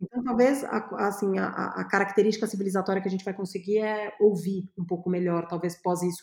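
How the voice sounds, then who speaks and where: A woman with an ordinary speaking voice, medium pitch, fairly even intonation, a fairly quick pace and hardly any pauses. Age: 40s. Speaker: creativity and innovation consultant. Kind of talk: interview.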